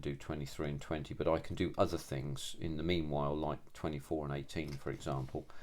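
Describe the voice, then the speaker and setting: Talking at a fairly quick pace, a man with a very deep, low voice shows vocal fry. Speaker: scale model builder. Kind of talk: tutorial. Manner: monotone; halting, many fillers.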